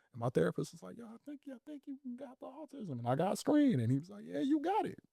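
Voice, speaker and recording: The man's loudness rises and falls by large amounts. He talks very fast. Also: dry, close sound with no echo. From Chicago, South Side. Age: 30s. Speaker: guest. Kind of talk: casual interview.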